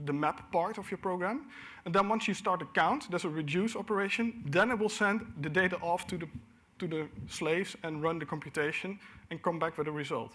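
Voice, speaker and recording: On a very clean recording with a silent background, a man speaks fairly quickly in a high pitch with a bright, sharp tone and ordinary pitch variation. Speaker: conference speaker. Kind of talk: technical conference talk. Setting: stage with audience. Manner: fast.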